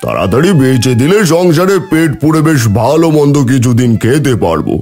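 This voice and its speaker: Over faint background music, a man uses a cartoonish character voice, fairly high-pitched and at a moderate pace. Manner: gruff, blunt.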